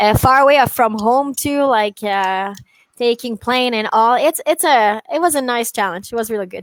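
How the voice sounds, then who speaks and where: A woman speaks at a moderate pace in a high voice with ordinary pitch variation, the sound dry and close with no echo, on a very clean recording with a silent background. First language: French. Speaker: dog trainer. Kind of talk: casual chat. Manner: halting.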